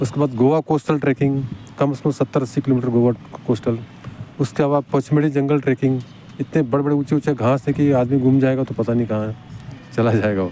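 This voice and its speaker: A man with medium pitch talks at a moderate pace and fairly even intonation over noticeable background noise. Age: 70s. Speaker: car mechanic and athlete. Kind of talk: interview answer.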